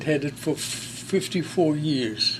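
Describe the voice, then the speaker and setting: With a German accent, a man talks at a fairly high pitch with ordinary pitch variation. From Germany, Berlin. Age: 90s. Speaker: war veteran. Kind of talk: testimony. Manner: halting.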